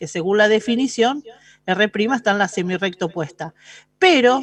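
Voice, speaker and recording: An ordinary speaking voice from a woman, fairly high-pitched, at a moderate pace with lively intonation. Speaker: math teacher. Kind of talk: lecture.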